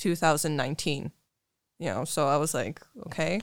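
A woman with an American accent speaks in a very deep, low voice with fairly even intonation, recorded very cleanly against a silent background with a dry, close sound and no echo. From Poland, raised partly on US military bases in Germany. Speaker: tattoo artist. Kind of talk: casual interview.

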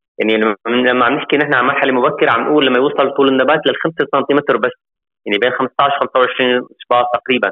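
A man talks at a fairly quick pace in an unremarkable speaking voice, his intonation fairly even. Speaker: agricultural engineer. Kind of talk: interview.

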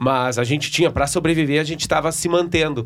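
The speaker has a southern Brazilian accent and a moderate pace. The recording is very clean, with a silent background. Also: man. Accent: gaúcho Brazilian Portuguese. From Rio Grande do Sul, Brazil (Novo Hamburgo area). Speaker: sertanejo singer. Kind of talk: casual chat.

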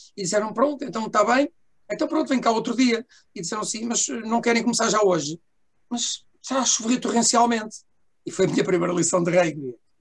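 A lively, bouncing intonation carries this fairly quick delivery, broken up by long and frequent pauses. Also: man, high pitch for a man. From Portugal, Lisbon. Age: 60s. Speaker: rugby commentator and former player. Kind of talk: casual chat.

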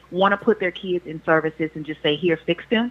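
Speaking at a fairly quick pace, a woman has a medium pitch and ordinary pitch variation. Noticeable background noise is present. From Louisiana. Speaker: licensed professional counselor. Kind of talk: casual chat. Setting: phone call.

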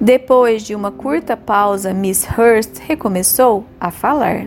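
Her voice sits fairly high, with lively intonation, at a very slow pace. There is noticeable background noise behind this woman. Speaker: audiobook narrator. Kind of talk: literary audiobook reading, scripted narration with character dialogue. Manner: steady, measured, formal storytelling pace.

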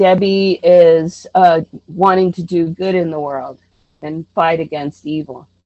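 Speaking at a fairly slow pace in an American accent, this is a normal speaking voice with ordinary pitch variation. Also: woman. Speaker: actress and artist. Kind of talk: interview.

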